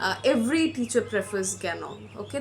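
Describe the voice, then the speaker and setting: A woman talks at a fairly quick pace, with audible room echo and noticeable background noise. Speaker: medical student tutor. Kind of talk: lecture. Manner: fast.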